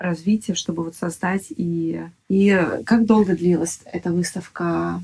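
The woman's pitch is fairly low and her intonation monotone and flat. She speaks at a fairly slow pace. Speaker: podcast host. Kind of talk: interview. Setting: guest's apartment.

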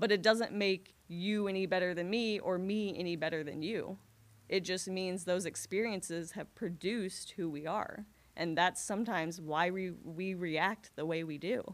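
A woman with an unremarkable speaking voice and medium pitch talks at a moderate pace with fairly even intonation. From Carbondale, Illinois (US Midwest), adopted from India as a baby. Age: 30s. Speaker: school teacher. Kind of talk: casual chat.

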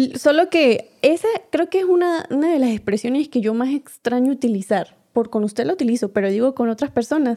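A woman with a strong Venezuelan accent talks at a fairly quick pace in a high voice, with a dark, mellow tone and lively intonation. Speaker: podcast co-host. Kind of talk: casual chat.

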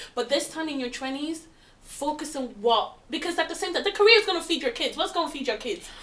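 Noticeable background noise surrounds a woman with an extremely high voice. She talks at a very fast pace with lively intonation. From London. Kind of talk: casual group chat.

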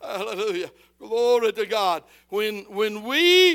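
A man with a high, bright, sharp voice projects it loudly at a very slow pace, with ordinary pitch variation on a very clean recording with a silent background. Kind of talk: sermon with scripture reading and call-and-response. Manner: pastoral and direct, urging the congregation to answer back.

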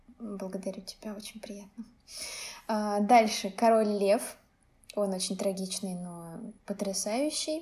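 Very slow, somewhat breathy speech in a dark, mellow tone, with ordinary pitch variation, big swings in loudness and long, frequent pauses. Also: woman, medium pitch for a woman. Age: 20s. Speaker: painter and blogger. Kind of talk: casual chat.

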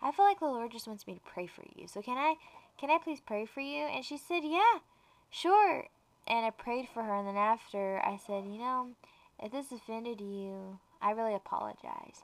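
Her voice is a plain, everyday voice, fairly high in pitch, with lively intonation, big swings in loudness and a moderate pace. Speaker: co-host and girlfriend of host. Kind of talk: casual devotional podcast chat.

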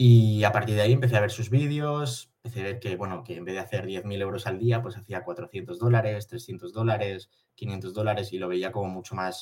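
A man with a fairly low, somewhat breathy voice speaks with ordinary pitch variation. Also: big swings in loudness. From Spain, Barcelona. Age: 20s. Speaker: day trader. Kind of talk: interview.

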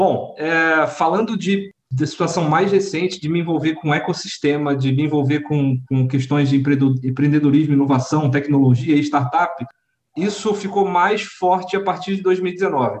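Speaking in a normal speaking voice, a man talks at a fairly slow pace and fairly high pitch, with ordinary pitch variation. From Rio de Janeiro and Sorocaba, Brazil. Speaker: startup community leader, workplace safety technician. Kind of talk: casual interview.

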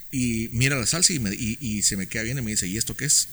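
Medium-pitched man at a fairly quick pace. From Guatemala. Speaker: chef and restaurant founder. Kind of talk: interview. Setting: restaurant in Guatemala City. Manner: halting, repeats words.

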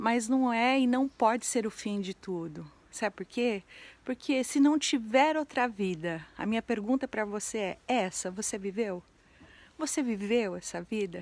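The pace is fairly slow. The background is quiet. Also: woman, fairly high pitch for a woman, ordinary pitch variation. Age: 40s. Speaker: entrepreneurship educator and social media creator. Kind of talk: vlog monologue. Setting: abandoned house.

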